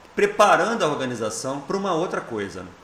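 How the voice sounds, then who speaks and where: The speech moves at a fairly quick pace with very wide pitch swings. Audible room echo and noticeable background noise are present. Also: man. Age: 60s. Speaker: software company founder and president. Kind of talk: interview. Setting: event, convention coverage.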